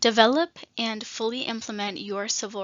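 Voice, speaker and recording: The woman's voice is shaky. Its pitch sits fairly high. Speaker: state nutrition program trainer. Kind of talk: training presentation. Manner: shaky voice.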